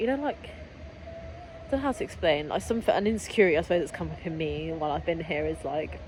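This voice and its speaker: A woman speaking with hardly any pauses, music in the background. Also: fairly quick pace. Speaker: vlogger, yoga trainee. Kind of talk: casual vlog chat. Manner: fast; animated, filler-heavy.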